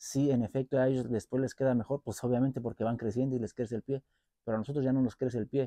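A man with a Mexican accent and a dark, mellow tone talks very fast with fairly even intonation, in a dry sound with no echo. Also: quiet background. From Mexico. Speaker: boot collector and repair youtuber. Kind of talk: product review vlog. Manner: casual, halting with repetitions. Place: garden. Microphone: lapel.

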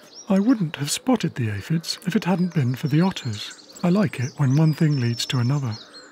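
With noticeable background noise behind him, a man speaks at a moderate pace and fairly high pitch, swinging very widely in pitch and hardly pausing at all. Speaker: wildlife cameraman and narrator. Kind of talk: nature documentary narration, diary style. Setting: voiceover recorded narration. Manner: calm, reflective, measured; intimate, hushed, personal.

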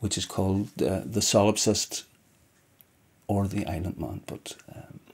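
A man speaks with a Northern Irish accent. His pitch is fairly low, and his intonation stays fairly even. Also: fairly slow pace. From Northern Ireland, County Down; Northern Ireland. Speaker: poet. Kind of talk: interview answer. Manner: halting. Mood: reflective, calm. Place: home room.

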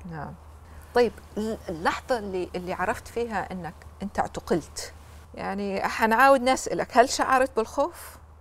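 With a Libyan accent, a woman talks at a fairly slow pace in a fairly high voice with vocal fry, lively intonation, and big swings in loudness. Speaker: TV talk show host. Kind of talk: TV interview; interview question. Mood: gentle, probing. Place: studio. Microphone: lapel.

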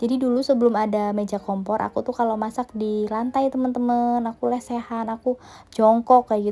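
A woman with a dark, mellow tone speaks at a fairly quick pace in a monotone, flat intonation. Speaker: home cooking vlogger. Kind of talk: casual vlog cooking narration. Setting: home kitchen. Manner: chatty, friendly.

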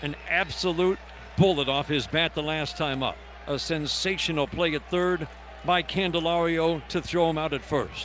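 In an excited tone, a man with a fairly high pitch talks at a moderate pace, the sound dry with no echo and light background noise behind him. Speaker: radio baseball play-by-play announcer. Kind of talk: live sports radio play-by-play commentary. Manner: excited, building to a climactic call. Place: booth.

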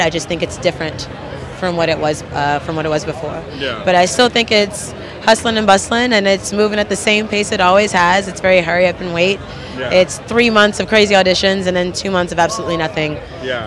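Noticeable background noise sits behind a woman talking at a fairly quick pace. Her pitch varies in an ordinary way, and the sound is dry with no echo. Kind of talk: interview answer. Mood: upbeat, enthusiastic. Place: hall. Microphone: handheld.

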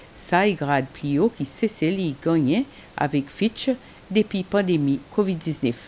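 A woman's dark, mellow tone at a fairly low pitch, with lively intonation, a very slow pace and light background noise. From Seychelles. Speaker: news anchor. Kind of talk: news reading. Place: studio.

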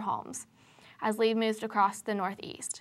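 A woman at a moderate pace against a quiet background. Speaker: news anchor. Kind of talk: news reading, scripted studio newscast. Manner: formal, even, brisk anchor delivery. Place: studio.

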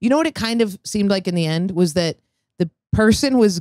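A woman speaks with ordinary pitch variation, her dry sound free of echo against a quiet background. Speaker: comedian and podcast co-host; comedian, podcast co-host. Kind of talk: casual chat. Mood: joking, candid storytelling. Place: studio. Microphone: handheld.

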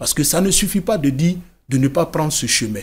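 The voice belongs to a man. It sounds somewhat breathy. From Côte d'Ivoire. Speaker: writer, former migrant, NGO founder. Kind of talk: TV interview. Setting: TV studio. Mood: earnest, serious storytelling. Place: studio. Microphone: studio mic.

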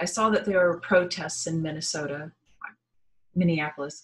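A woman speaks at a moderate pace in a fairly low, somewhat breathy voice with ordinary pitch variation. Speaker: spiritual energy reader. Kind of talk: casual vlog chat. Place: home room. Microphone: webcam.

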